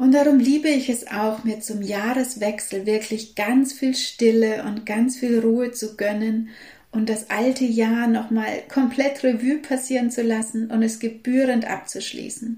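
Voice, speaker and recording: Over noticeable background noise, a woman speaks fairly slowly with hardly any pauses, her fairly high voice held in a monotone, flat intonation. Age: 50s. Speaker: holistic health coach and podcast host. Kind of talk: solo podcast monologue.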